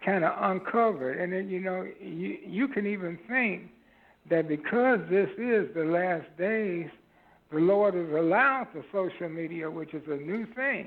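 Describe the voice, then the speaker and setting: At a fairly slow pace, a man talks in a high pitch. His pitch variation is ordinary. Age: 60s. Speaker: caller. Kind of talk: phone-in call. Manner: halting.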